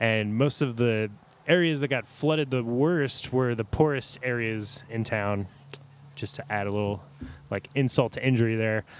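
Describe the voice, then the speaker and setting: A plain, everyday voice from a man with an American accent, medium pitch, ordinary pitch variation and a moderate pace. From US South, New Orleans area (Kenner, Louisiana). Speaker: coffee company wholesale team leader. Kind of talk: casual interview chat.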